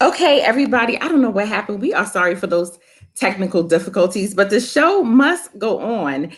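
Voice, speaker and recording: A woman speaks at a medium pitch with very wide swings in her pitch. Her voice is somewhat breathy and her pace fairly quick. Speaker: college professor and interview host. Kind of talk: casual interview host talk.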